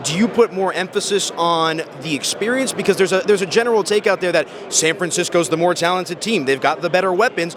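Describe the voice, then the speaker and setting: Through noticeable background noise, a man speaks at a high pitch and a very fast pace. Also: ordinary pitch variation. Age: young. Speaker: sports betting interviewer. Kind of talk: interview. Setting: radio row event in Las Vegas.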